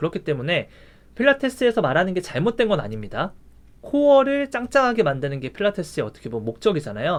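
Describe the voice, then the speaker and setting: A man talks at a very fast pace in a high pitch, his voice making very wide pitch swings. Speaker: university lecturer in physical therapy. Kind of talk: recorded online lecture.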